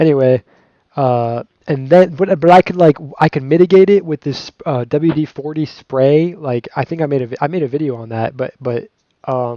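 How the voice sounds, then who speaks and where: A man's fairly high voice with a dark, mellow tone and ordinary pitch variation. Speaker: gaming YouTuber. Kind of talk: unboxing review. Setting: home recording with music playing. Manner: fast; halting, many fillers and restarts.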